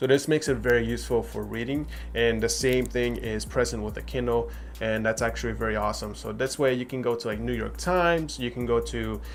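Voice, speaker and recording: Over background music and audible room echo, a man with a non-native accent talks at a fairly quick pace. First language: not English. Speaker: tech reviewer. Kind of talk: product review. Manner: casual with fillers.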